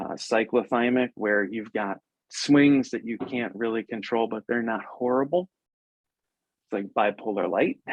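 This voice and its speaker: A man at medium pitch and a moderate pace, with ordinary pitch variation and long, frequent pauses. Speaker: podcast host and mindset coach, former lawyer. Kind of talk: interview. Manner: loud.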